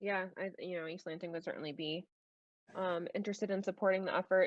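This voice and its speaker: A woman's fairly low-pitched, monotone, flat voice with a slight Minnesota accent. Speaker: school board member and education professor. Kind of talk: virtual public meeting discussion. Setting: video call.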